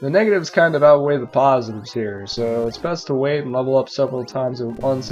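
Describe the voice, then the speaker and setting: A man of medium pitch with ordinary pitch variation and music in the background. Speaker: retro game reviewer. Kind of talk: game review narration.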